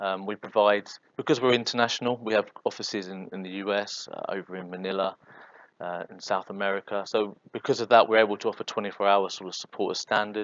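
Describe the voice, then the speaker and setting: A man talks at a very fast pace with a fairly low pitch. His intonation is monotone and flat, yet his loudness swings widely. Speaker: software consultant. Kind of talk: presentation.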